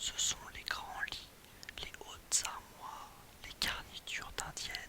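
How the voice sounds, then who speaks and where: A whispered voice moves very slowly, with noticeable noise in the background. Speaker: ASMR reader. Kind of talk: literary short story reading.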